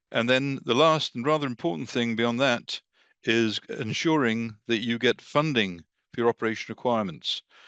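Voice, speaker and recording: A man with a British accent is heard in a dry, close sound with no echo and a quiet background. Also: medium pitch for a man, ordinary pitch variation, moderate pace. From England. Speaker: defense industry marketer. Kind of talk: webinar presentation. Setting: online video call.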